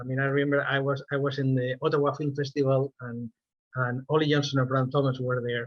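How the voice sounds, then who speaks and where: Someone talks at a very fast pace with a Spanish accent. The intonation stays monotone and flat. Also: man, medium pitch for a man. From Spain. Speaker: animator. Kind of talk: interview. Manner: halting, with frequent repetitions.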